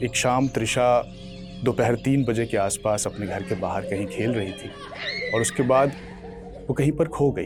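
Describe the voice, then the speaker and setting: Music plays in the background as the voice moves with ordinary pitch variation. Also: man, medium pitch for a man. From Lucknow, India. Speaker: storyteller and author. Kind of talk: storytelling / motivational talk to an audience. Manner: narrative, suspenseful storytelling.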